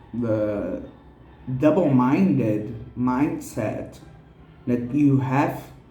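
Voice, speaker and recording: Audible room echo surrounds a man speaking at medium pitch in a Portuguese accent. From Brazil. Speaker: tarot reader. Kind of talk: tarot reading.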